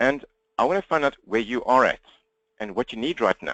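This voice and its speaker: With a South African accent, a man at medium pitch talks at a very fast pace, the sound dry and close with no echo. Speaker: business coach. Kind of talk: webinar presentation. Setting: webinar, talking to computer.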